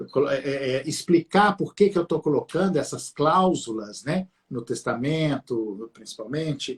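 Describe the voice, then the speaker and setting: A fairly high-pitched man at a fairly slow pace, with lively intonation. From Minas Gerais, Brazil (Abaeté). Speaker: law professor, live stream host. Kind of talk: live-stream interview on family law. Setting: live stream. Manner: hesitant, many fillers.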